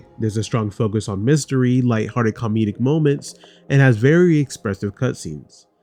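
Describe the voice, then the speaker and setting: Music plays in the background as a man at a medium pitch talks at a fairly quick pace with ordinary pitch variation. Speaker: gaming YouTuber. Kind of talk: video game review.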